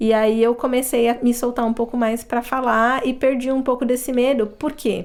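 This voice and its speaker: Speaking at a moderate pace with hardly any pauses, a woman holds a high pitch in a monotone, flat intonation. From Brazil. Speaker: accountant, immigrant interviewee. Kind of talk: casual interview chat.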